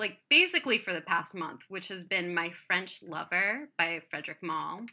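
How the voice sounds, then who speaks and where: A woman with an American accent speaks at a medium pitch in a bright, sharp tone. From US Midwest, Columbus, Ohio. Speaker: candle artist and sculptor. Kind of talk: casual chat.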